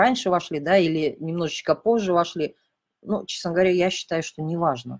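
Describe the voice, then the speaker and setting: Speaking at a moderate pace, a woman uses a normal speaking voice with medium pitch and ordinary pitch variation. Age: 40s. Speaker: intermittent fasting coach and blogger. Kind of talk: live-stream Q&A. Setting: live broadcast.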